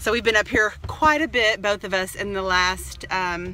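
A woman speaks with a Texas accent. There is light background noise. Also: dry sound with no echo. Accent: Texas Southern US. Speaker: family vlogger. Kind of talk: casual vlog talk to camera. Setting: in a car. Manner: animated. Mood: cheerful, relieved. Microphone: phone near.

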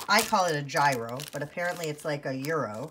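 A woman against loud background noise. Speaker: haul vlogger. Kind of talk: casual vlog chat. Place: kitchen. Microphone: phone near.

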